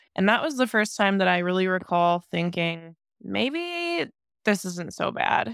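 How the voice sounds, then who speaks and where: A woman with an American accent and a plain, everyday voice talks at a fairly slow pace in a medium pitch, recorded very cleanly with a silent background and a dry, close sound with no echo. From US Midwest, Ohio. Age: 30s. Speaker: bodybuilder and heart transplant recipient. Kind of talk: interview storytelling.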